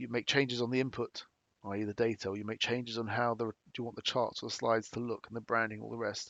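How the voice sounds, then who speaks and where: Speaking very fast with a British accent, a man keeps a medium pitch and monotone, flat intonation. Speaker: company presenter. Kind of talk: webinar presentation. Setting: online webinar. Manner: halting, many fillers.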